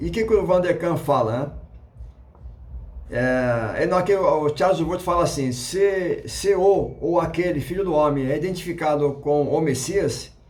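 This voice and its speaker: At a fairly slow pace with ordinary pitch variation, the voice comes through audible room echo and noticeable background noise. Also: man, fairly high pitch for a man. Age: 60s. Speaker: YouTube religious educator. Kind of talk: casual lecture. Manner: halting, many fillers and restarts.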